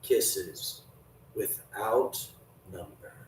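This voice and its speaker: A quiet, put-on character voice. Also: man, extremely high pitch for a man. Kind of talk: literary reading. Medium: read story. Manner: hushed.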